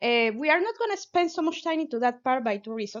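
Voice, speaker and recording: The speaker has a Venezuelan accent and lively intonation. The pace is fairly quick. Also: woman. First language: Spanish. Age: 30s. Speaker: physicist and science communicator. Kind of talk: pop-science talk. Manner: halting, with many fillers.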